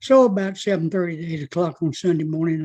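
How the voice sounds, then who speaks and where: A man with a Southern US accent talks at a fairly quick pace with a high pitch for a man. His intonation is fairly even, and the background is quiet. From US South. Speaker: army veteran. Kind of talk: interview. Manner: halting.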